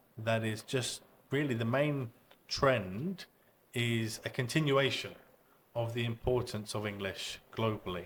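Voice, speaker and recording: Pausing long and often, a British-accented man speaks very slowly at a medium pitch with ordinary pitch variation. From UK. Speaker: English education expert. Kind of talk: podcast interview. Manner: hesitant fillers.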